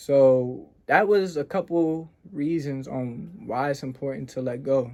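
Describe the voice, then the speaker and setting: At a fairly slow pace, a man talks in an unremarkable speaking voice, fairly high in pitch with ordinary variation. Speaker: self-improvement podcaster. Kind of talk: motivational talk. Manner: casual.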